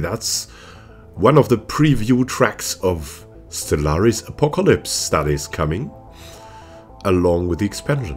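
A man talks with a fairly low pitch and very wide pitch swings. Music can be heard behind him. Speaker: gaming YouTuber. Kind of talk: casual talk to camera.

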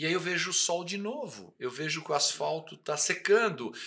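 This man has a bright, sharp tone and a high pitch, with lively intonation at a moderate pace. The background is quiet. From Brazil. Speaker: motorcycle TV show host. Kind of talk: casual interview. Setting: home studio. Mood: relaxed, warm. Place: studio. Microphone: studio mic.

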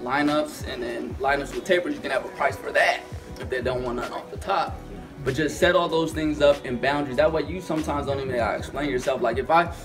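A man talking at a very fast pace over clear background music. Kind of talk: informal lecture answering questions. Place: classroom. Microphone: camera far.

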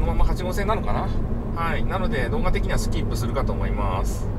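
Loud noise fills the background while this man talks fairly quickly. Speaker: driver vlogger. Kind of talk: casual driving vlog narration. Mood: relaxed, mildly weary. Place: car.

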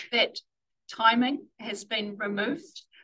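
A woman with a fairly high pitch and a bright, sharp tone speaks at a fairly slow pace, her sound dry and close with no echo. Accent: New Zealand. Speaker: council transport planning staff. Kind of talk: formal presentation to a board.

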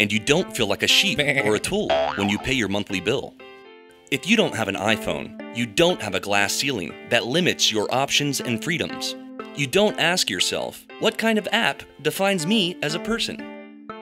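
Over music in the background, a man with a medium pitch speaks at a moderate pace with very wide pitch swings. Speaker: creative director. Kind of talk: parody TV commercial read. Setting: studio.

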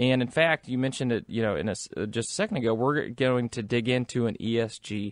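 Against a quiet background, a man in a normal speaking voice talks at a moderate pace and medium pitch. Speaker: radio co-host, investment advisor. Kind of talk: radio talk show.

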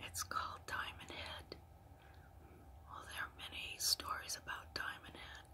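Whispering at a fairly slow pace, the voice has big swings in loudness and long, frequent pauses. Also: woman. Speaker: ASMR storyteller. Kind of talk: ASMR storytelling. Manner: soft-spoken. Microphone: phone near.

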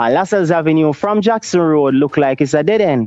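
A man with a Jamaican accent and lively intonation. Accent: Jamaican English with Patois. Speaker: Rastafari priest. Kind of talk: casual chat. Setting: video call.

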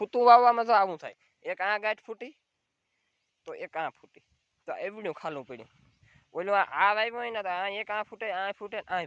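Here a man speaks in a high pitch with ordinary pitch variation. The sound is dry and close, with no echo. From Gujarat, Saurashtra (Junagadh district). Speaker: dairy farmer vlogger. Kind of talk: casual vlog narration.

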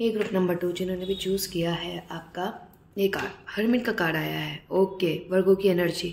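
Audible room echo surrounds a woman whose slightly mellow tone carries vocal fry and fairly even intonation. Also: fairly low pitch for a woman, moderate pace.

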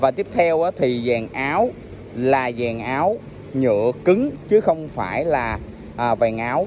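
A man talks at a very slow pace. The sound is dry with no echo, and there is light background noise. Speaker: scooter reviewer. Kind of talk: product walkaround commentary. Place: street. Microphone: phone near.

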